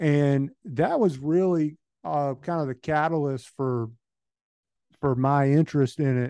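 A man with a Southern US accent speaks at a fairly slow pace in a fairly high voice, keeping his intonation fairly even and leaving long, frequent pauses against a quiet background. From Georgia, US. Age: 30s. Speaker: hunter and land manager. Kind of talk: casual chat. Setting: phone call.

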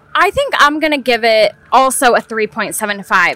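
A woman is speaking, and noticeable background noise can be heard throughout. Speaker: podcast co-host, daughter. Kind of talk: casual chat. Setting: outdoors in a brewery beer garden.

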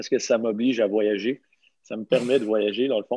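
Speaking fairly slowly, a man uses a medium pitch and a dark, mellow tone. His intonation is fairly even, and the sound is dry and close with no echo. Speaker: podcast host, CrossFit coach. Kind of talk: casual chat.

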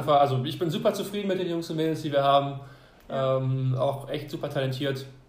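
A man with a fairly high pitch, varying it in an ordinary way, is heard with audible room echo and noticeable background noise. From France. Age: 20s. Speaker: doctoral student and university cheer coach. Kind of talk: interview.

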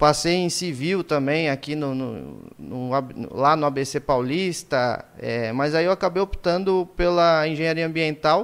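An unremarkable speaking voice talks at a fairly slow pace with ordinary pitch variation, captured in a very clean recording with a silent background. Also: man. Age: 20s. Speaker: podcast host, irrigation engineer. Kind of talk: casual chat. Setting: live stream.

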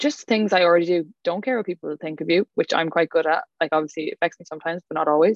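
A woman talks at a very fast pace with hardly any pauses, in an Irish accent. Her fairly low voice has ordinary pitch variation. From Ireland, County Clare. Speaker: wellness retreat organizer. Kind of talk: casual chat. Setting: video call. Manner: animated.

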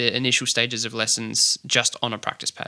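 In a dry, close sound with no echo, a man with an Australian accent talks at a moderate pace and medium pitch, his monotone, flat intonation carrying a bright, sharp tone and vocal fry. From Australia, Adelaide. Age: young. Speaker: drummer. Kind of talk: interview. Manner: hesitant, many fillers.

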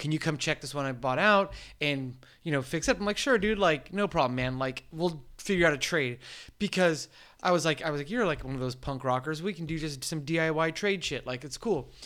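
On a very clean recording with a silent background, a man with an American accent and a fairly high pitch speaks at a fairly quick pace in a bright, sharp tone with ordinary pitch variation. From US West Coast, San Diego East County. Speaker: metal fabricator. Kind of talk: casual chat.

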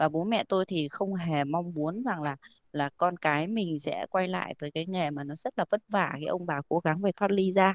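A woman with an unremarkable speaking voice talks at a moderate pace in a fairly low pitch, with ordinary pitch variation and hardly any pauses. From Vietnam, rural hill region. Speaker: organic farming company staff. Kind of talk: interview.

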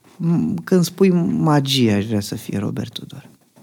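A man talks with very wide pitch swings. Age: 30s. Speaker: magician. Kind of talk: casual chat.

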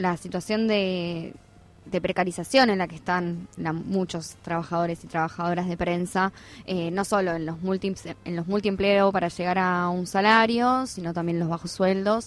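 In a very clean recording with a silent background, a woman uses a normal speaking voice at a moderate pace with ordinary pitch variation. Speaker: radio host. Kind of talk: radio interview.

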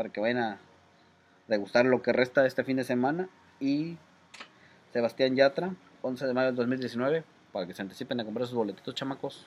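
A man with a Mexican accent talks at a fairly quick pace with ordinary pitch variation and long, frequent pauses. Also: medium pitch for a man. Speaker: podcast co-host. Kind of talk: casual chat. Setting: outdoors.

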